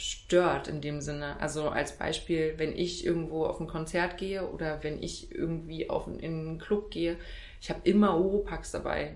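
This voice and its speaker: Audible room echo surrounds a woman talking at a moderate speed. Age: 30s. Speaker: wedding speaker and cabaret artist. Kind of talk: casual interview.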